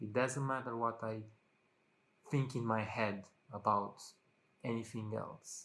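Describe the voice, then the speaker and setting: A man's flat, monotone delivery at medium pitch, with a non-native accent and long, frequent pauses. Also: fairly slow pace. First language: not English. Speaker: vlogger. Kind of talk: casual monologue to camera. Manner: halting, many fillers.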